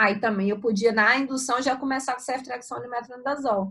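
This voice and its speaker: A woman's raised, projected voice, high-pitched, with a bright, sharp tone and ordinary pitch variation. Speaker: surgery professor. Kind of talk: lecture. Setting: video call.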